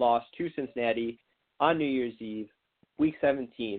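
A man with an American accent at a fairly slow pace, medium in pitch, with fairly even intonation. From Michigan, US. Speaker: sports podcast co-host. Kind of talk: casual sports talk. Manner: halting, many fillers.

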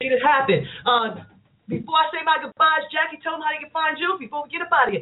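In a New York accent, the speaker talks at a very fast pace in an animated tone, with ordinary pitch variation and big swings in loudness. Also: woman, high pitch for a woman. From Queens, New York. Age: 50s. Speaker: talk show host. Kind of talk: casual chat.

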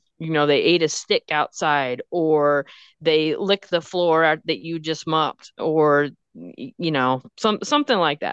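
In a Texan accent, a woman with a very deep, low pitch and ordinary pitch variation speaks at a fairly slow pace, the sound dry and close with no echo against a quiet background. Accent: Texan (US Southern) English. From Texas. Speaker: pet nutritionist. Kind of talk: casual chat.

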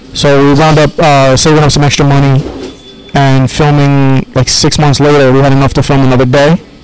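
With an American accent, a man speaks at a fairly quick pace in a fairly high, monotone, flat voice of very even loudness, with noticeable background noise. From Queens, New York. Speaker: film director. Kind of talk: interview.

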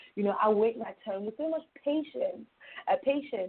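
A woman's fairly high voice with a London accent and lively intonation. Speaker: youth mentor. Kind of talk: interview. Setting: phone call.

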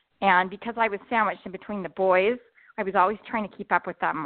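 With an American accent, a woman uses a normal speaking voice at a medium pitch and ordinary pitch variation. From southern Utah. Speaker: author. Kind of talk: interview. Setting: phone call.

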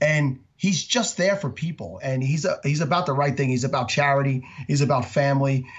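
Speaking at a moderate pace, a man with a fairly high, somewhat breathy voice uses ordinary pitch variation. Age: 40s. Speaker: fantasy football podcaster. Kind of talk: casual interview.

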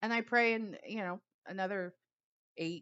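A woman speaks at a moderate pace in an unremarkable speaking voice, with ordinary pitch variation. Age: 40s. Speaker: intuitive coach. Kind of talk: solo podcast monologue. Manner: casual, laughs often.

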